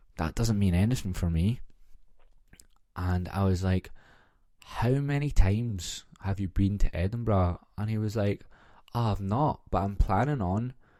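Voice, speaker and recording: Speaking with a Glaswegian accent, a man uses a fairly low pitch and ordinary pitch variation. His pace is fairly slow, with long, frequent pauses. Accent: Glaswegian Scottish. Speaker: podcast host. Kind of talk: casual solo podcast chat. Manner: animated storytelling.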